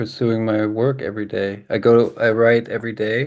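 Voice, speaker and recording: A man with an American accent speaks at a medium pitch in a dark, mellow tone against a quiet background. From Germany and California. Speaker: jazz pianist. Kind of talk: interview. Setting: video call.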